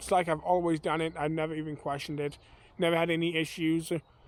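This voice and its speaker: In an American accent, a man with a fairly high pitch talks at a very fast pace. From US Midwest, Kansas (Wichita area, rural). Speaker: vlogger. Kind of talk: casual vlog talk. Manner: relaxed, many fillers (uh, um).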